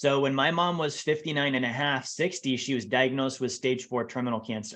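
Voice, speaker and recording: Against a quiet background, a man talks in an ordinary speaking voice at a fairly quick pace with ordinary pitch variation. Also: medium pitch for a man. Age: 30s. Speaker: financial advisor. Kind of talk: podcast interview.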